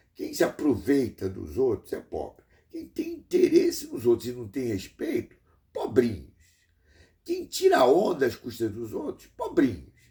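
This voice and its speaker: Delivered at a fairly slow pace, the speech has big swings in loudness. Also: man. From Brazil. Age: 60s. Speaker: engineer and vlogger. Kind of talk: rambling monologue vlog. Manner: halting with many repetitions.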